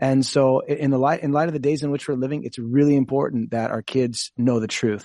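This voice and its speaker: A plain, everyday voice with an American accent, fairly even intonation, a fairly quick pace and hardly any pauses. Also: man, medium pitch for a man. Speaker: pastor. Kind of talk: radio talk show discussion.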